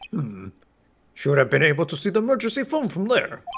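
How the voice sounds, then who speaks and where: A man puts on a character voice with a high pitch. He rattles along at a very fast pace with very wide pitch swings. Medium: game stream. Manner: measured, questioning.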